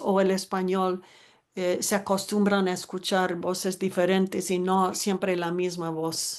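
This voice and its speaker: Against a quiet background, a woman talks very slowly in a medium pitch with monotone, flat intonation. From United States. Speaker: anthropologist and author. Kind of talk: panel discussion.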